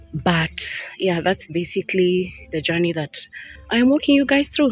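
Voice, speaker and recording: Over noticeable background noise, a woman with a fairly low pitch talks at a fairly quick pace with lively intonation. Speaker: lifestyle vlogger. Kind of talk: motivational talk. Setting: outdoors.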